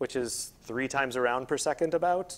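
Ordinary pitch variation accompanies a moderate speaking pace. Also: man. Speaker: speaker. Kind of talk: lecture. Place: hall. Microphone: lapel.

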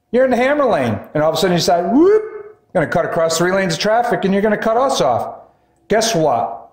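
The man's voice is high and moves at a fairly quick pace. There is audible room echo over a quiet background. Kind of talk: casual vlog chat. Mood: annoyed, lecturing. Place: car. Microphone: camera far.

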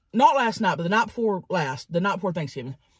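A woman speaks at a very fast pace with vocal fry. The sound is dry with no echo over a quiet background. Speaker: mukbang host. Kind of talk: casual vlog chat. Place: car.

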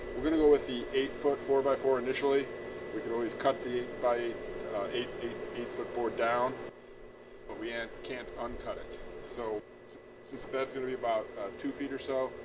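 Against loud background noise, a man talks at a moderate pace with long, frequent pauses. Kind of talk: tutorial. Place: garden. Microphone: lapel.

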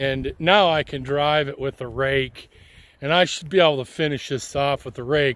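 A man talks fairly slowly, and the sound is dry with no echo. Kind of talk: casual review commentary. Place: open country. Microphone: phone near.

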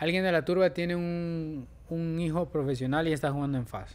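A man's fairly high voice at a fairly slow pace. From El Salvador, San Salvador. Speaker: professional footballer; podcast guest. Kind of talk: casual chat; interview answer. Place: studio. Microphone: studio mic.

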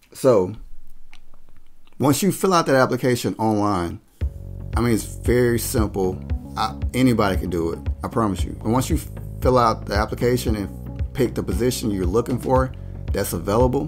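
A man speaks at a moderate pace and a fairly low pitch, leaving long, frequent pauses. Music plays clearly in the background. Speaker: job advice vlogger. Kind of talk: tutorial. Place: home room. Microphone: studio mic.

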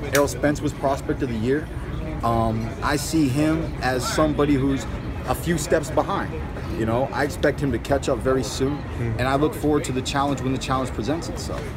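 A man's fairly quick pace plays out against music in the background. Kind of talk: interview answer. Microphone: phone near.

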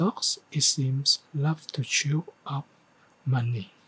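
The intonation holds fairly even. It is a man's voice. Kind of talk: reading practice of a news text. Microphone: studio mic.

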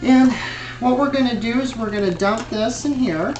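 Clear music sounds in the background while a man speaks. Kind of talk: mock cooking show presentation. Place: home room. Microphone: camera far.

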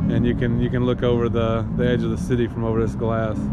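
Music plays in the background as a man talks at a fairly quick pace. The sound is dry with no echo. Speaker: travel vlogger. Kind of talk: casual vlog chat. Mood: relaxed, admiring. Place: bar. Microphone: phone near.

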